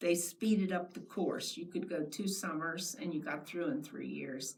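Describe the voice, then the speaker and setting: Speaking at a fairly slow pace, a woman uses a fairly low pitch with very wide pitch swings. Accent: American. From US Mid-Atlantic, lower Delaware. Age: 90s. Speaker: oral history interviewee, retired teacher. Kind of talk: oral history interview.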